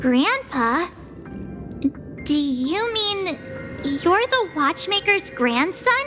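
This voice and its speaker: A put-on character voice at an extremely high pitch and a very slow pace, over clear background noise. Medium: machinima. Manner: bright, expressive.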